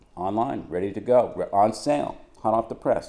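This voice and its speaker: With a Boston accent, a man talks in a dark, mellow tone. His intonation is lively. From Boston, Massachusetts. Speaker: travel writer reading his manuscript. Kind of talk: casual chat; reading aloud from own manuscript.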